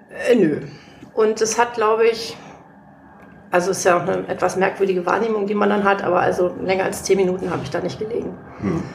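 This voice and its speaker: A woman's very fast speech with fairly even intonation and a medium pitch, broken by long, frequent pauses, with audible room echo and noticeable background noise. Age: 40s. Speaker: legal assistant and patient. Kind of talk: casual interview. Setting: guest's living room.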